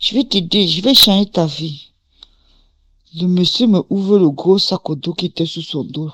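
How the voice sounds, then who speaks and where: Speaking at a fairly slow pace, a woman uses a fairly low pitch, lively intonation and vocal fry. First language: English (speaking French). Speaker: testimony giver. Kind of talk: testimony. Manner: casual, code-switching.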